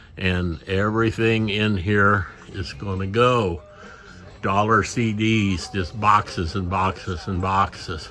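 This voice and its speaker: Very slow, relaxed delivery with fairly even intonation over noticeable background noise. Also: man, fairly low pitch for a man. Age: 80s+. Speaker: record collector vlogger. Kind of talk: casual vlog. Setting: record store. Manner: relaxed conversational.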